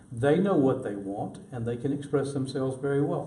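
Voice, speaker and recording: A man with fairly high pitch and ordinary pitch variation speaks amid audible room echo. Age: 70s. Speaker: city council candidate. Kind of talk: interview.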